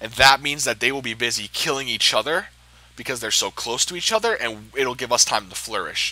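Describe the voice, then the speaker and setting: At a very fast pace, a man talks in a bright, sharp tone of medium pitch with ordinary pitch variation. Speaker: gaming video creator. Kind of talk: game tutorial commentary. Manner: casual with filler ums.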